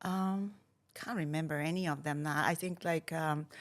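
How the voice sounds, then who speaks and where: A woman speaks with a Hungarian accent. Her fairly low voice moves at a fairly slow pace. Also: very clean recording, silent background. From Hungary. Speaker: startup founder and investor. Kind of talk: interview conversation.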